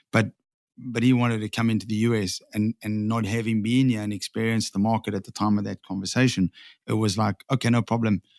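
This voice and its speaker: Over a very clean recording with a silent background and a dry, close sound with no echo, a man with a South African accent speaks at a very fast pace, fairly low in pitch, in a monotone, flat intonation. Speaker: sign franchise owner. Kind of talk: podcast interview. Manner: hesitant, repeats words.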